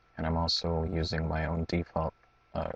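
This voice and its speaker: Somewhat breathy, a man speaks at a moderate pace in a very deep, low pitch with monotone, flat intonation. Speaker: gaming tutorial youtuber. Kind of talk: tutorial. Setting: at home at night. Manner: halting.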